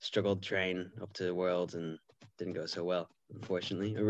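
The speaker talks at a moderate pace with an Irish accent and monotone, flat intonation. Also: man, quiet background. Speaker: cyclist. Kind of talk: casual chat.

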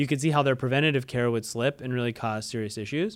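The speaker here is a man. His recording is very clean and the background silent. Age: 30s. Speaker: marketing podcast host. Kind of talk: solo business podcast monologue.

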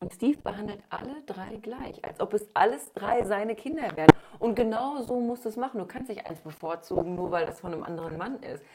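Over noticeable background noise, a woman talks at a fairly quick pace with hardly any pauses. Her fairly high voice has lively intonation and big swings in loudness. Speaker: podcast host. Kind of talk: casual chat.

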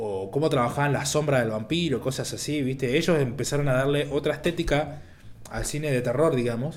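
Against audible room echo, a man with a fairly high pitch talks at a fairly quick pace with ordinary pitch variation. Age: 20s. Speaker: film director. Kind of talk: casual chat.

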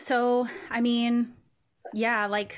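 Woman with a fairly high pitch and monotone, flat intonation. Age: 30s. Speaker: podcast host. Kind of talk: casual chat.

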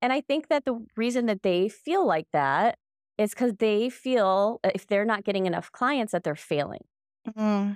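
In a plain, everyday voice, a woman with fairly high pitch speaks at a moderate pace with lively intonation and very even loudness, on a very clean recording with a silent background. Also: dry, close sound with no echo. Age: 40s. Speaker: real estate agent and podcast co-host. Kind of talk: casual chat.

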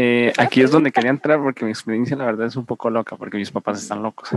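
Using an ordinary speaking voice, a man speaks at a medium pitch with ordinary pitch variation, and the sound is dry and close with no echo. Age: 20s. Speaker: student. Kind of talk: casual chat. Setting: video call.

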